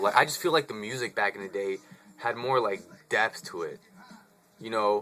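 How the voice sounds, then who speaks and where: Behind this man's American accent is noticeable background noise. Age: 20s. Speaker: vlogger. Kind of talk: casual vlog monologue. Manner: casual, animated.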